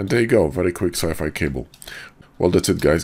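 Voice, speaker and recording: Vocal fry with ordinary pitch variation. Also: man. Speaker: 3D modeling tutorial creator. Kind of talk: tutorial.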